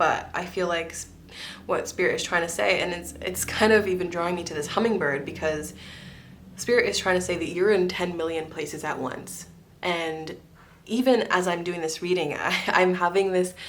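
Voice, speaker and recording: With ordinary pitch variation and a moderate pace, a woman talks amid audible room echo and noticeable background noise. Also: fairly low pitch for a woman. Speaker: tarot reader. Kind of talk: psychic tarot reading.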